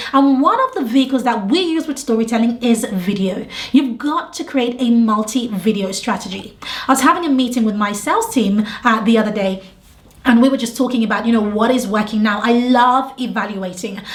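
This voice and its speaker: This woman has a British accent and a fairly high pitch. Her tone is animated, with ordinary pitch variation. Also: fairly quick pace. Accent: British (UK). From England, London. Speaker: business coach. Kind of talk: tutorial.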